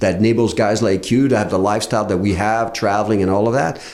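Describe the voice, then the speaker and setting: With a Quebec accent, a man talks very fast at a fairly low pitch, with noticeable background noise and audible room echo. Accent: French Canadian accent in English. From Quebec, Canada. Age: 60s. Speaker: real estate investor. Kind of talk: casual chat. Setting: studio. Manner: hesitant, many fillers.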